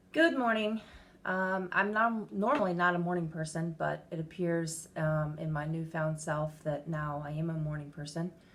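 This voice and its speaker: A woman at a fairly low pitch, with ordinary pitch variation and a moderate pace. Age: 40s. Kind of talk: casual talk to camera.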